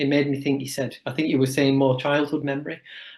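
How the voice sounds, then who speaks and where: A man is talking. He has a northern English accent. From northern England, Wigan. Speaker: chiropractor. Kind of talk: podcast interview. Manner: hesitant, with fillers.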